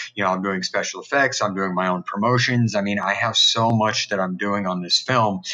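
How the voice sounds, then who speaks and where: This man talks at a fairly quick pace with hardly any pauses, his intonation fairly even and his pitch fairly low. Noticeable background noise runs under his voice. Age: 40s. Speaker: independent horror filmmaker. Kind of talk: casual interview chat.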